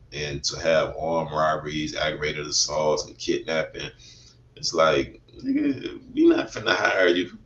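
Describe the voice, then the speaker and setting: A man speaks with an American accent, his loudness swinging widely. Noticeable noise runs in the background. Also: fairly slow pace. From US South, west side of Atlanta, Georgia. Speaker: former prisoner sharing life story. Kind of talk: interview testimony. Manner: halting, many fillers.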